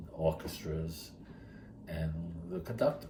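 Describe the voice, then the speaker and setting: Against noticeable background noise and audible room echo, a man with an American accent speaks at a very deep, low pitch. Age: 70s. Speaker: retired teacher and charity founder. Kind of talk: interview storytelling. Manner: halting.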